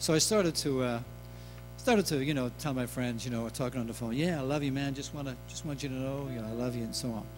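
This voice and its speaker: A man with a Dublin accent talks at a very fast pace, his pitch medium and its variation ordinary. Music plays in the background, and the room has an audible echo. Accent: Dublin Irish. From Ireland, Dublin. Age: 60s. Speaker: singer-songwriter. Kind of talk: concert stage talk. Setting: stage with audience. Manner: halting.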